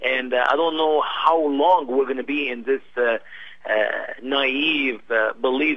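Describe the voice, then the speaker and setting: A fairly high-pitched man in an Arabic accent, fairly slow, with ordinary pitch variation. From Egypt. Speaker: missionary. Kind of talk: radio interview. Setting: internet radio show. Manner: halting, many fillers.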